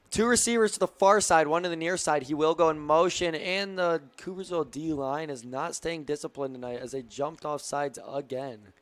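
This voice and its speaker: A man speaks in a normal speaking voice at a fairly high pitch, fairly quickly, with hardly any pauses. His pitch varies in an ordinary way. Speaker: play-by-play sports commentator. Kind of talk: live commentary.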